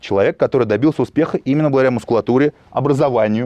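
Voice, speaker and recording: This man talks at a very fast pace in a medium pitch with a dark, mellow tone, ordinary pitch variation, and a dry, close sound with no echo. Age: 30s. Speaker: bodybuilder and film producer. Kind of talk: interview.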